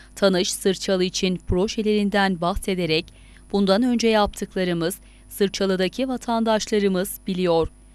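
Very clean recording, silent background, and a woman's plain, everyday voice with fairly even intonation, very even loudness and a moderate pace. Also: medium pitch for a woman. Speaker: news reporter. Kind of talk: news narration.

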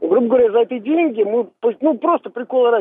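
In a dry sound with no echo, a man speaks at a high pitch with ordinary pitch variation. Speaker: radio caller. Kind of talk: casual chat. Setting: phone call. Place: studio.

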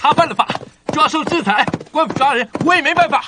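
In a put-on character voice, a man speaks at an extremely high pitch with a bright, sharp tone, lively intonation and a fairly quick pace.

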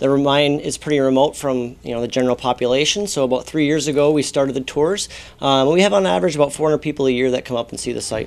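A man talks at a very fast pace with hardly any pauses. His pitch variation is ordinary. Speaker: mine staff spokesperson. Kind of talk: interview answer. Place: office. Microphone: lapel.

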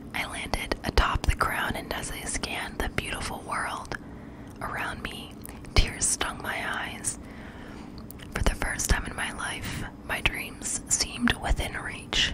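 A soft-spoken woman whispering at a fairly slow pace amid loud background noise. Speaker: audiobook narrator. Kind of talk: fiction read-aloud narration. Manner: soft close-mic whispered reading. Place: home room. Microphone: studio mic.

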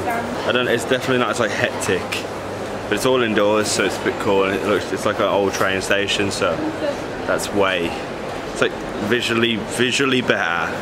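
A man keeps a moderate pace while loud background noise carries on around him. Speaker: travel vlogger. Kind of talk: casual vlog chat.

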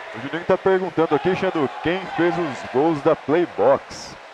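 Over noticeable background noise, a man with a high voice speaks at a fairly slow pace. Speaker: futsal color commentator. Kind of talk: live sports commentary.

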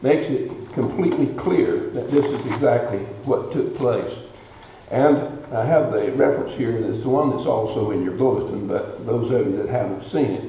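A man talks at a moderate pace. Light background noise and audible room echo are present. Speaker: guest preacher. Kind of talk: sermon. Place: church. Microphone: podium.

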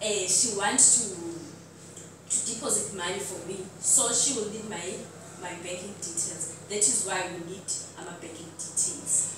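A woman at a fairly slow pace with ordinary pitch variation, in strong room echo and noticeable background noise. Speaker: presenter. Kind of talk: presentation. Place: hall. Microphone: camera far.

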